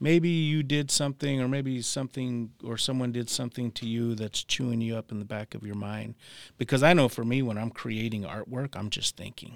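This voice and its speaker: A man with a plain, everyday voice and an American accent, medium in pitch with ordinary pitch variation, at a fairly quick pace, in a dry, close sound with no echo and a very clean recording with a silent background. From Arizona, US Southwest (Tucson). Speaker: tattoo artist and illustrator. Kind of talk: casual interview storytelling.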